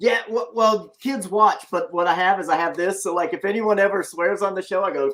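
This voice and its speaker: The speaker has a Southern US accent and ordinary pitch variation. There are hardly any pauses. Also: man. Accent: deep South Southern drawl. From US Deep South. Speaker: comic creator and live show host. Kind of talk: casual live-stream interview. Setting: live stream with chat. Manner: lyrical.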